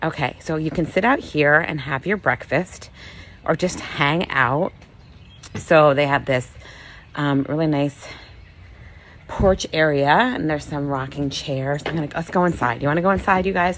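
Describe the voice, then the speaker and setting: Pausing long and often, a woman speaks at a moderate pace in a very deep, low pitch, her tone animated and her pitch varying in an ordinary way. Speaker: vlogger. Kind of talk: casual walking tour vlog. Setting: indoors and outdoors at a bed and breakfast. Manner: loud; chatty, animated.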